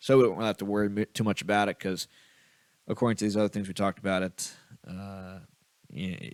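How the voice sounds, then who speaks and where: On a very clean recording with a silent background and a dry, close sound with no echo, a man with a fairly low pitch talks at a very fast pace with ordinary pitch variation. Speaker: crypto podcast host. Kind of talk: solo commentary reading posts.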